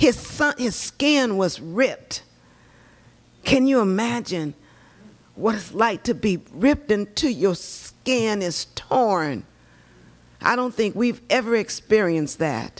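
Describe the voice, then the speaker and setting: Long pauses come often as this woman talks very slowly. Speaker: church elder preaching. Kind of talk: sermon. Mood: earnest, measured. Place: church. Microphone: podium.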